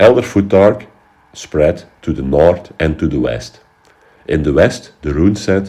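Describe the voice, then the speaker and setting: Very deep and low, a man's voice carries vocal fry and a dark, mellow tone with ordinary pitch variation. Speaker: history educator. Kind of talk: educational talk.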